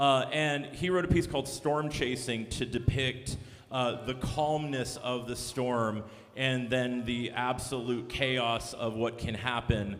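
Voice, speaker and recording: Amid noticeable background noise and audible room echo, a man with an American accent speaks very slowly at a medium pitch with fairly even intonation. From Texas. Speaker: band director. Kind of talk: concert introduction to audience. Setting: stage with audience. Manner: casual, with filler words.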